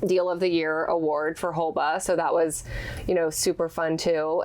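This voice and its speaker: A woman speaks fairly slowly in a fairly low pitch, her intonation monotone and flat. Noticeable background noise runs under her voice. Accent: Texan. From Texas, Houston area. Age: young. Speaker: commercial real estate broker and fashion blogger. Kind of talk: podcast interview.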